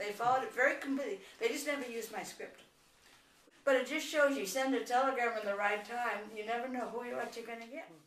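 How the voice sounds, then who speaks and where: A woman speaks very fast in an American accent, her voice pitched high. Noticeable background noise and audible room echo surround her ordinary pitch variation. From New York City. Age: 80s+. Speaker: grandmother. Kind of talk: family interview.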